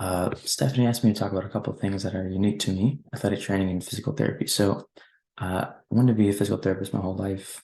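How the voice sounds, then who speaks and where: A man whispers at a very fast pace. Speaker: former student society officer. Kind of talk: presentation. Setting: at home. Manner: whispering.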